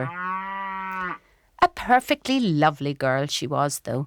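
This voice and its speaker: On a very clean recording with a silent background, a woman speaks with a Dublin accent in a fairly low pitch that swings very widely. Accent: Irish (Dublin). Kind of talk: memoir narration, dramatic reading. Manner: wry, humorous.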